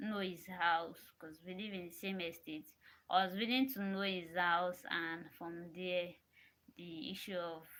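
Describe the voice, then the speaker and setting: Soft-spoken and fairly slow, a woman talks in a bright, sharp tone at a fairly low pitch with fairly even intonation. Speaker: vlogger. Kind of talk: casual monologue to camera. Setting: alone in a room. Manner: repetitive, halting.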